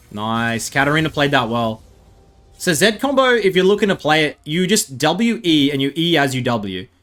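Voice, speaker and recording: An animated, fairly high-pitched man with an Australian accent, at a moderate pace with very wide pitch swings, over background music. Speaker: gaming streamer and YouTuber. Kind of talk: gameplay commentary. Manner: casual, animated.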